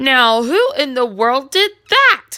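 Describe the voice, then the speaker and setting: A woman's put-on character voice, high in pitch, with very wide pitch swings. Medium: read story.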